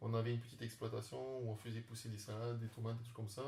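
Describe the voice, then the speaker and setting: Here a man speaks at a fairly quick pace. His pitch sits in the medium range. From French Polynesia (Tahiti). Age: 30s. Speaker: startup founder and beekeeper. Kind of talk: interview. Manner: halting, many fillers.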